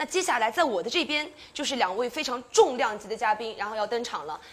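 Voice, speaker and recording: This woman speaks at a very fast pace in a high voice. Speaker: event host. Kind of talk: live-stream hosting. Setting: outdoor tent on the Great Wall. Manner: lively, teasing. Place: studio. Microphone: lapel.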